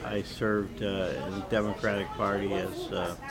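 With an American accent, a man speaks at a fairly low pitch over noticeable background noise and audible room echo. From Pennsylvania, Erie. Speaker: retired businessman. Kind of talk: life story interview. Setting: over lunch. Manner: halting.

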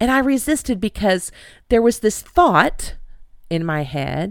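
A woman's animated tone at a fairly slow pace, in a very clean recording with a silent background. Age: 50s. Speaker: motivational speaker and life coach. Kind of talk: solo podcast monologue. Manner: animated, laughs often.

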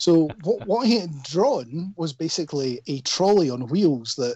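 A man speaks in a Scottish accent. His pitch is fairly high. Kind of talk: casual chat.

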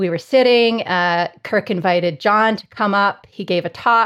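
Over a quiet background, a woman with a Canadian accent speaks at a medium pitch with ordinary pitch variation in a plain, everyday voice. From Canada (Calgary). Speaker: psychology researcher and professor. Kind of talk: interview conversation.

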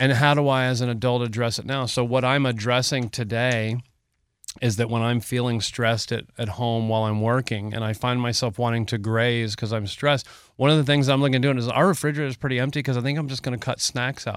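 A man talks very fast at a medium pitch in a very clean recording with a silent background. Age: 50s. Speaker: radio host. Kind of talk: radio show conversation. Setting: studio. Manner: joking, humorous.

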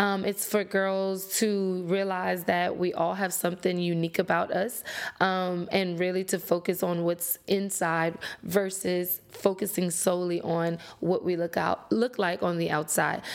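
A woman's medium-pitched voice in a Louisiana accent, fairly slow, with monotone, flat intonation and very even loudness. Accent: Louisiana Southern US. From Louisiana, Lafayette. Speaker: podcast host, motivational speaker. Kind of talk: motivational monologue. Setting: solo recording to camera. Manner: casual with fillers.

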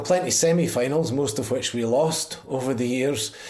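In a Perthshire accent, a man with a fairly high pitch talks at a moderate pace with ordinary pitch variation, and audible room echo surrounds him. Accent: Scottish (Perthshire). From Scotland, Perthshire (Pitlochry). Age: 50s. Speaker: football fan. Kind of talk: interview.

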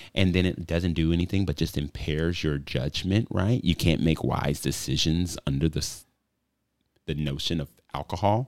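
A man speaks at a very deep, low pitch with vocal fry, a moderate pace and ordinary pitch variation, in a dry, close sound with no echo. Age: 30s. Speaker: husband and father discussing family life. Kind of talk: casual chat. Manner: animated.

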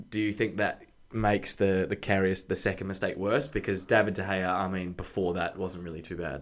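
This man has a very deep, low pitch and an Australian accent. He moves at a fairly quick pace with fairly even intonation. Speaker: football podcast panelist. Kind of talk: casual chat.

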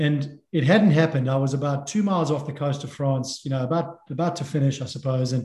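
A very fast, hardly paused delivery in a somewhat breathy, dark, mellow tone with fairly even intonation. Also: man, fairly high pitch for a man. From South Africa. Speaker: endurance swimmer. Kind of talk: interview. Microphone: echoey room.

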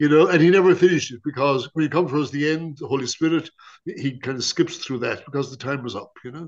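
Against a quiet background, a man with an Irish accent talks at a very fast pace and a fairly high pitch, with ordinary pitch variation and big swings in loudness. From Ireland. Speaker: priest and theology professor. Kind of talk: interview.

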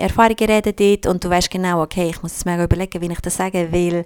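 A woman's fairly low voice, monotone and flat, at a fairly quick pace. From Switzerland, Albanian-speaking migrant family. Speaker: queer activist. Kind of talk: casual chat.

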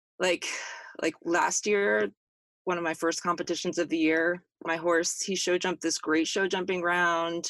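A woman with a normal speaking voice talks at a moderate pace in a fairly low pitch, with fairly even intonation and very even loudness, on a very clean recording with a silent background. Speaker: magazine editor, co-presenter. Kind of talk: casual chat.

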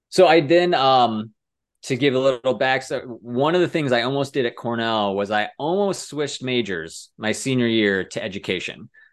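A man with a Midwestern American accent, medium in pitch, at a moderate pace with lively intonation, against a quiet background. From US Midwest (Cedar Rapids, Iowa). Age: 30s. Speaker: author. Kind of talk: casual chat.

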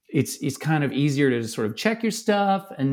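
In an American accent, an ordinary speaking voice moves at a moderate pace with lively intonation. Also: man. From US Midwest, St. Louis. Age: 40s. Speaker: commercial photographer. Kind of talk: casual chat. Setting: video call.

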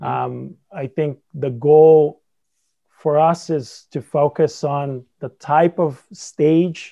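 This man has a slight non-native accent and a fairly high pitch, with a dark, mellow tone. His intonation is fairly even, and the background is quiet. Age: 40s. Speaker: startup founder and angel investor.

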